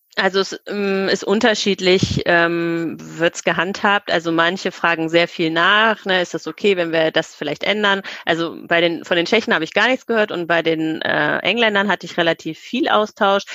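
A woman's fairly low, bright, sharp voice at a moderate pace, with ordinary pitch variation and hardly any pauses, dry and close with no echo. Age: 40s. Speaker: children's book author. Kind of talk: podcast interview.

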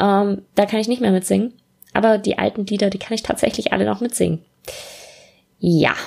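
Speaking fairly quickly, a woman uses a medium pitch and fairly even intonation. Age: 20s. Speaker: podcast host, student and freelance copywriter. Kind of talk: solo casual podcast monologue. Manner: casual with many filler sounds.

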